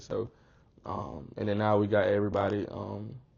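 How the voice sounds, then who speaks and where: The speaker is a man with an Atlanta accent. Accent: Atlanta accent, noticeable. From Atlanta, South Fulton, Georgia. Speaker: college athlete. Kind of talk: casual interview. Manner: animated.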